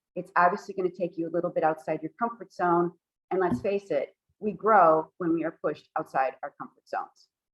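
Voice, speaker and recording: A woman with a normal speaking voice talks at a fairly quick pace and a fairly low pitch, with ordinary pitch variation. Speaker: toastmasters presenter. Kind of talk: workshop presentation.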